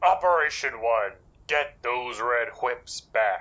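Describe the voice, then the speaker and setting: Fairly slow in pace, the man's speech carries lively intonation. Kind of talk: comic overacting. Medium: machinima. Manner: commanding, brisk, boastful.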